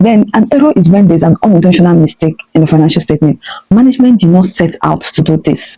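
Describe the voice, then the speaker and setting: Somewhat breathy and dark, mellow in tone, a woman talks at a very fast pace and fairly low pitch with lively intonation, very even loudness, and a dry, close sound with no echo. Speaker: audit tutor. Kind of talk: tutorial.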